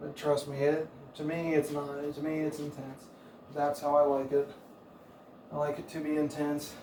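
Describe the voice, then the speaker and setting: Soft-spoken and monotone, a man talks at a fairly high pitch and moderate pace. Noticeable background noise and audible room echo fill the recording. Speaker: fitness coach. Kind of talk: workout instruction.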